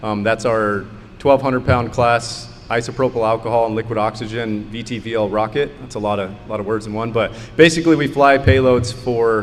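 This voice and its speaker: Over noticeable background noise and audible room echo, a man with a medium pitch speaks fairly quickly, his intonation fairly even but his loudness swinging widely. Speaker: rocket engineer. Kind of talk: conference panel talk.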